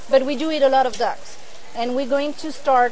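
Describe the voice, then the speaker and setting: A woman speaks in a French accent with a high voice. Her intonation stays fairly even, and the room echo is audible. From France. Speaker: duck producer. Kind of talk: cooking demonstration interview.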